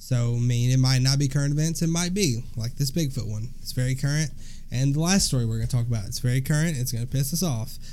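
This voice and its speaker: A man with a Southern US accent speaks at a very fast pace. His tone is dark and mellow. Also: medium pitch for a man, ordinary pitch variation. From US South. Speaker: podcast co-host. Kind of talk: casual chat.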